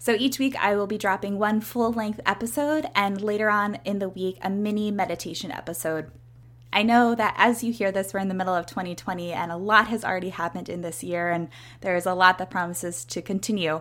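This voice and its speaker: In an American accent, a woman with an ordinary speaking voice talks at a fairly quick pace, her medium pitch showing ordinary variation. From US Northeast, Philadelphia suburbs. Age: 30s. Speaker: podcast host, yoga instructor and health coach. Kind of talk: casual solo monologue.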